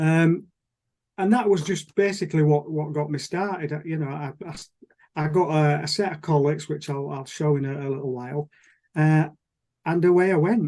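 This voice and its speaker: A man's fairly high voice has a dark, mellow tone and fairly even intonation. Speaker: model engineer. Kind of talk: presentation on Zoom. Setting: video call. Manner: fast.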